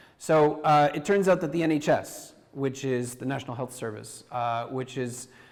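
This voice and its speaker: This man speaks with a Canadian accent at a moderate pace. His pitch is medium, with ordinary variation. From Canada. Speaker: university professor and deputy minister. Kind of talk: conference talk. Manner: halting, many fillers and restarts.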